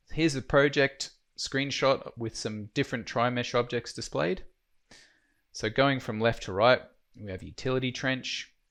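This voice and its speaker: Against a quiet background, a man with an Australian accent speaks at a moderate pace and medium pitch, with ordinary pitch variation and big swings in loudness. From Australia, Queensland. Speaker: software trainer. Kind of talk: tutorial.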